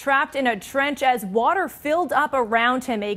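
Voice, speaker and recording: Speaking with an American accent, a woman uses a high pitch and ordinary pitch variation. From United States. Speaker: TV news anchor and reporter. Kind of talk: studio news anchor read. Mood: serious, measured. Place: studio.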